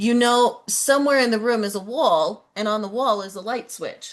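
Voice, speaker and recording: Against a quiet background, a woman with an American accent speaks in a fairly high voice with lively intonation. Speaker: Bible teacher. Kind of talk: sermon-style teaching.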